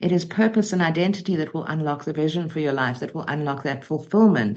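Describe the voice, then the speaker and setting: A woman talks at a very fast pace. Her pitch is very deep and low, with ordinary pitch variation. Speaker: motivational speaker and coach. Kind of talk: interview. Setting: podcast. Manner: articulate, measured.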